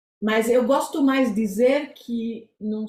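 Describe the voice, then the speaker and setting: A woman with a non-native accent, very slow pace and ordinary pitch variation. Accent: foreign accent in Portuguese. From Israel. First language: Hebrew (speaking Portuguese). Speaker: psychotherapist. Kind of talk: interview. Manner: halting.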